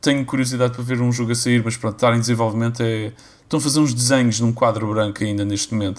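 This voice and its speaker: Speaking very fast, a man keeps a medium pitch and a monotone, flat intonation. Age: 30s. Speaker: podcast host. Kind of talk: casual chat.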